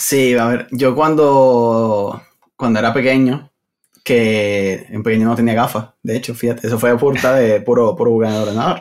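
A man's unremarkable speaking voice at a medium pitch, fairly slow in pace, with fairly even intonation. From Venezuela. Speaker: Android developer. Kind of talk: casual interview.

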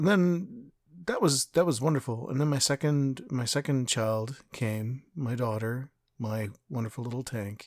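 A man with a Canadian accent and an ordinary speaking voice talks at a fairly slow pace, with medium pitch and ordinary pitch variation. The recording is very clean, with a silent background. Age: 40s. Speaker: podcast host. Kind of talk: personal monologue.

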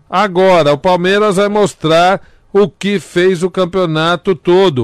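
Recorded dry and close with no echo, a man speaks at a fairly slow pace and high pitch. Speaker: radio comedian co-host. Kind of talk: comedic casual chat. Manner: animated.

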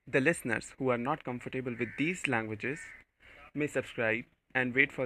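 A man's fairly even intonation goes along with a moderate pace. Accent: Indian. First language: Hindi. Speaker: podcast host. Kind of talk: spiritual talk.

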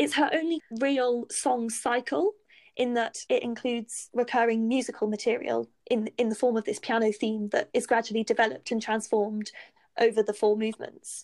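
A woman with a British accent talks at a fairly high pitch, recorded with a dry, close sound and no echo. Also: ordinary pitch variation, moderate pace. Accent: British, similar to host. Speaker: musicology expert. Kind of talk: informative conversation. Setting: video call.

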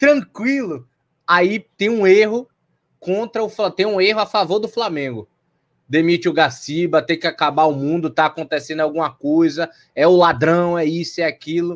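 With lively intonation at a moderate pace, the voice comes through in a very clean recording with a silent background. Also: man, high pitch for a man. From Bahia, Brazil (Salvador). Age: 20s. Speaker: football podcast co-host. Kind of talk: casual chat.

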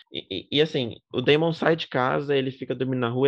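A man is talking. His pitch sits in the middle range. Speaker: podcast host. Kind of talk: casual chat.

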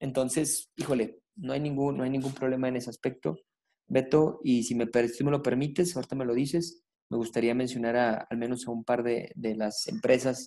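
His tone dark and mellow, a man talks at a moderate pace and medium pitch with ordinary pitch variation. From Zacatecas, Mexico. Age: 20s. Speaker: race director. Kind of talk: interview.

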